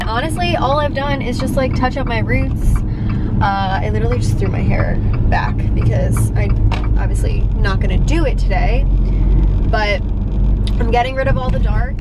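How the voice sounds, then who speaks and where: Loud background noise behind a woman speaking. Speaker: vlogger. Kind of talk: casual vlog chat. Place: car. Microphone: phone near.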